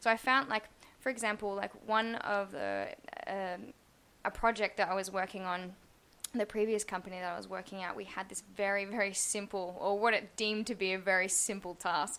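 A woman with an Australian accent talks at a fairly quick pace and a medium pitch. Her tone is bright and sharp, with fairly even intonation. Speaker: UX designer. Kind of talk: casual chat.

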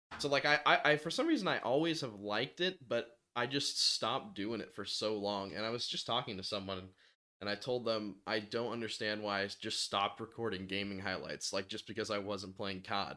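In an ordinary speaking voice, a man talks at a fairly quick pace, fairly low in pitch, with ordinary pitch variation. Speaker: gaming content creator. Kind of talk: casual podcast chat.

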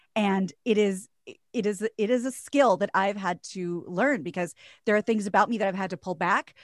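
Heard dry and close with no echo on a very clean recording with a silent background, a woman with a plain, everyday voice speaks fairly quickly at a medium pitch with ordinary pitch variation. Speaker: radio host and voiceover artist. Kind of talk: casual interview chat.

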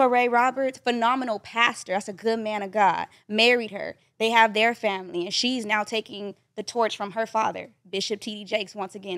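A woman's ordinary speaking voice, fairly high in pitch and fairly quick, with fairly even intonation and big swings in loudness on a very clean recording with a silent background. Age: 20s. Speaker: podcast guest. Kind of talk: casual chat. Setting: studio.

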